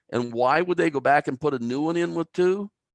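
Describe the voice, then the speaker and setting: Against a quiet background with a dry, close sound and no echo, a man speaks at a moderate pace, his pitch swinging very widely. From Canada, New Brunswick (Albert County). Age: 60s. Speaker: timber engineer. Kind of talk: lecture.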